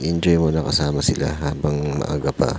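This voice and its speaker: Over noticeable background noise, a soft-spoken man talks in a very deep, low pitch with a monotone, flat intonation. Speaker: vlogger. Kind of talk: voice-over narration.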